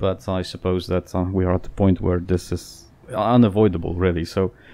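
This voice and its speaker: Moderate pace and fairly even intonation, with noticeable background noise behind it. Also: man. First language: Polish. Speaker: gaming YouTuber. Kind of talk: casual Q&A channel update. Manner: hesitant, many fillers.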